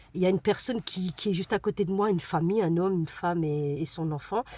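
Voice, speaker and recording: The woman's voice is somewhat breathy. It rests at a medium pitch with ordinary pitch variation. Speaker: vlogger, single mother. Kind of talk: casual vlog talk to camera. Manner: fast; hesitant, many fillers.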